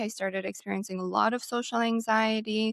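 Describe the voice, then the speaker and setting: Fairly even intonation at a moderate pace, in an Albanian accent. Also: woman. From Albania, Tirana. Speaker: clinical psychologist, podcast co-host. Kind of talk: casual chat.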